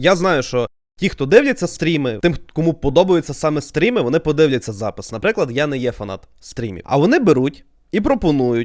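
A fairly high-pitched man at a fairly quick pace, with very wide pitch swings. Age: 20s. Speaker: YouTuber. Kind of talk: podcast monologue.

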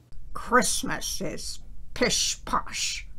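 Over noticeable background noise, a woman puts on a gruff character voice.

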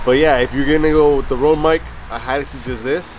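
There is noticeable background noise, though the sound is dry with no echo. A man talks at a fairly quick pace. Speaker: gear reviewer. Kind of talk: casual vlog review. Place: garden. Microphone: phone near.

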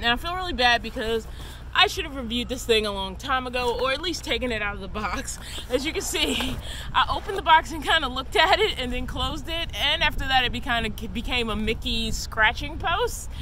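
A woman speaks in a raised, projected voice at a fairly quick pace, with a dry sound with no echo and light background noise. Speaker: van life vlogger. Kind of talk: casual vlog chat / product review. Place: open country.

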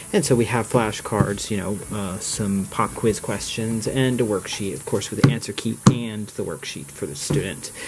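Noticeable background noise runs under a man's fairly low-pitched voice, with ordinary pitch variation. He speaks with hardly any pauses. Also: moderate pace. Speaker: lifestyle vlogger. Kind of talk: casual vlog narration. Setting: outdoors. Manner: casual, rambling.

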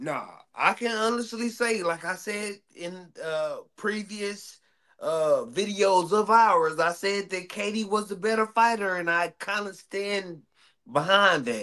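A man's high, raised and projected voice, bright and sharp in tone, at a very slow pace with ordinary pitch variation over a quiet background. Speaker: boxing podcast co-host. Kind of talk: casual debate. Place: home room.

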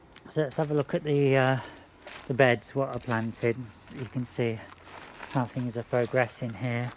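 A man at a moderate pace with fairly even intonation, dry sound with no echo, and light background noise. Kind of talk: casual garden tour narration. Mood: relaxed, cheerful. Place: garden. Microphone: phone near.

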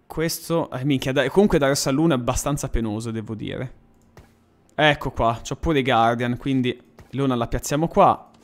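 With faint music in the background, a man talks at a moderate pace in a fairly high voice with ordinary pitch variation. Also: long, frequent pauses. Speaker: gaming streamer. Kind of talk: live stream commentary.

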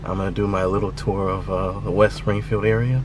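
A man's moderately paced speech has a dry sound with no echo, with noticeable background noise underneath. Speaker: vlogger. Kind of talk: casual vlog chat. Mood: reflective, nostalgic. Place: car. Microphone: phone near.

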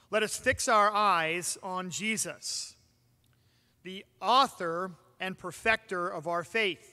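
In a raised, projected voice with a bright, sharp tone, a man speaks at a very slow pace against a quiet background. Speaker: pastor. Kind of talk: sermon. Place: church.

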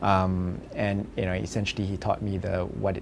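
A man's very deep, low-pitched voice amid noticeable background noise. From Singapore. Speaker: medical researcher. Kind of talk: interview. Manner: halting, many fillers. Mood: relaxed, reflective. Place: office.

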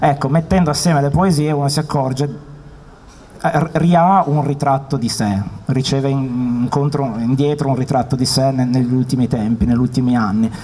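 In an unremarkable speaking voice, a man talks at a fairly high pitch and a moderate pace, with ordinary pitch variation and very even loudness. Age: 30s. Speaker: poet; guest. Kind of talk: interview. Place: hall. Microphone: handheld.

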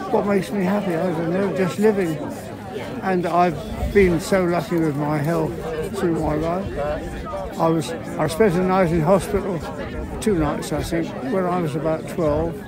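A man speaks at a moderate pace with long, frequent pauses. The sound is dry with no echo, and loud background noise runs underneath. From Salisbury, Wiltshire, England. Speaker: rambler, war veteran. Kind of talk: interview answer. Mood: cheerful, pleased, modest. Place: open country.

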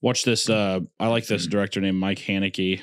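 Over a quiet background, a man with a very deep, low pitch speaks at a moderate pace in a monotone, flat intonation. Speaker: podcast host. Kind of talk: casual podcast conversation. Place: home room. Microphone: studio mic.

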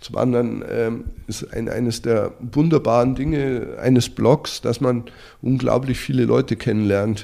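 Speaking at a fairly slow pace, a man of medium pitch has a dark, mellow tone with vocal fry and fairly even intonation. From Bavaria, Germany. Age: 50s. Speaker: lifestyle blogger, former investment banker. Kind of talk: interview. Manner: halting, many fillers and repetitions.

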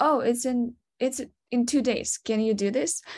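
Against a quiet background, a woman speaks at a moderate pace in a Ukrainian accent. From Ukraine. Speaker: product designer. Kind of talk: webinar presentation. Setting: video call. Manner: giggly, frequent laughter; halting, many fillers. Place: home room. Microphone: video call.

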